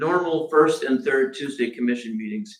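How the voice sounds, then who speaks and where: A man speaks loudly at a fairly high pitch. His tone is bright and sharp, with lively intonation. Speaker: city manager. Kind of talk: budget presentation at public meeting. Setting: commission meeting room. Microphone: no microphone, far from recording mic.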